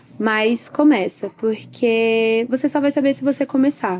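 A woman with an unremarkable speaking voice talks at a fairly slow pace with lively intonation. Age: 20s. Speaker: beauty salon owner. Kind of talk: interview.

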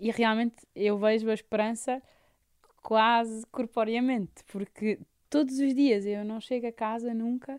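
A woman talks with monotone, flat intonation. The sound is dry and close, with no echo. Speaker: palliative care nurse. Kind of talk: radio interview.

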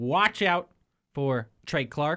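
Pitched fairly high, a man speaks at a very slow pace with ordinary pitch variation. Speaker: radio host. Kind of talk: casual sports chat. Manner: animated.

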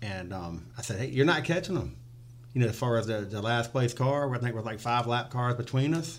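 A man speaks fairly quickly in an unremarkable speaking voice. His pitch is medium, with ordinary variation. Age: 40s. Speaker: race spotter. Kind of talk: casual chat. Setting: studio.

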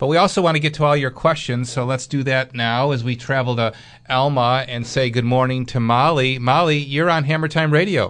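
Against a quiet background, a man with an American accent speaks at a fairly quick pace in a normal speaking voice of medium pitch. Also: fairly even intonation. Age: 60s. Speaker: radio host and building contractor. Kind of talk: call-in radio show. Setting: studio.

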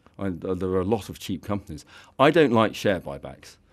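Very fast, lively speech with an English accent on a very clean recording over a silent background. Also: man. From England. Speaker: fund manager. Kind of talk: radio interview. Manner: halting.

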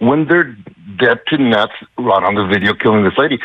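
With an American accent and a plain, everyday voice, a man talks at a moderate pace with lively intonation. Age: 60s. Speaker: radio caller. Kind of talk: call-in opinion.

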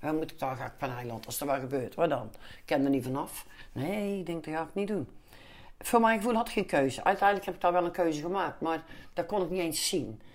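At a very fast pace, a woman speaks with lively intonation and big swings in loudness. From Netherlands, Den Bosch (North Brabant). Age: 50s. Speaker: calendar maker for veterans charity. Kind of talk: interview, personal life story.

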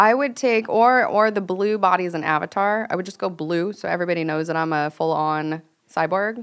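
Here is a woman with an unremarkable speaking voice in an American accent. She talks at a fairly quick pace and medium pitch, with ordinary pitch variation. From Venice Beach, California. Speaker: startup founder. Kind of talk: casual interview.

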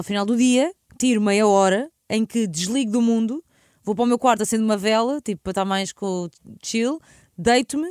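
A woman's fairly high voice at a fairly quick clip, with ordinary pitch variation and a dry, close sound free of echo. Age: 30s. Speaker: radio host. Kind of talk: casual chat.

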